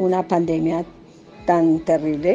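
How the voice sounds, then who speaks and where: A woman speaks at a very slow pace. Her voice is fairly low and her intonation is monotone and flat. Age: 50s. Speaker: retired nursing technician. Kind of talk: interview.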